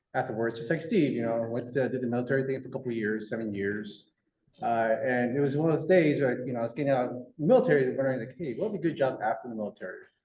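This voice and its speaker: In an American accent, a man with a medium pitch and a dark, mellow tone talks at a very fast pace, with audible room echo around him. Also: ordinary pitch variation. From San Jose, California. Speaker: land management official. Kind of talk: public meeting self-introduction.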